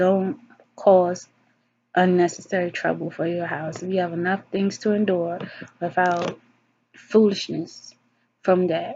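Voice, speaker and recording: This is a plain, everyday voice from a woman of medium pitch. She talks at a fairly slow pace with fairly even intonation. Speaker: vlogger giving advice to women. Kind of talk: casual monologue vlog. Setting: alone, self-recorded video.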